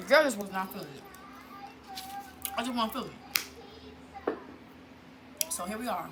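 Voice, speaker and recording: Speaking fairly quickly with lively intonation, a woman uses a fairly high pitch and takes long, frequent pauses. Her voice carries an audible room echo amid noticeable background noise. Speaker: vlogger. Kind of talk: casual vlog chat. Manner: fast; loud.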